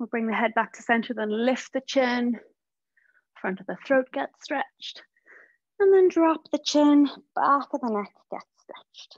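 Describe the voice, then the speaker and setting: A woman with a western Irish accent speaks at a fairly slow pace in a high voice, her loudness swinging widely and her intonation lively, with long, frequent pauses and a dry, close sound that has no echo. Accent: Irish (west of Ireland). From west of Ireland. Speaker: social worker leading a guided prayer session. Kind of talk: guided meditation with movement instructions.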